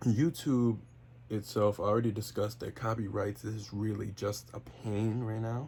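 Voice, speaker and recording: A man's fairly low, somewhat breathy voice with a dark, mellow tone, at a moderate pace with fairly even intonation. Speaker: wrestling podcaster and YouTuber. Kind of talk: casual solo podcast monologue. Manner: stutters, fillers, free-flowing; off the cuff.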